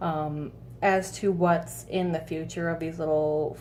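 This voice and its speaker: A woman with a very deep, low voice and ordinary pitch variation is heard with audible room echo. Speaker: vape flavor reviewer. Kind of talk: casual vlog review. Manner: hesitant, many fillers.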